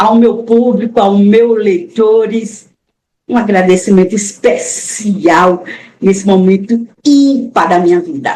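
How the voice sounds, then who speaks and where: A woman speaks very slowly in a fairly high, somewhat breathy voice with ordinary pitch variation. Her loudness stays very even. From Brazil, Alagoas (Maceió). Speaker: author, retired teacher. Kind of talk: interview.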